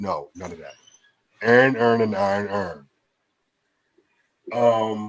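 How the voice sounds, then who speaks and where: Delivered in a Baltimore accent, the speech goes at a fairly slow pace with long, frequent pauses and big swings in loudness. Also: man. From Baltimore, Maryland (Northeast Baltimore). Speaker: podcast co-host. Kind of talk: casual chat. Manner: animated.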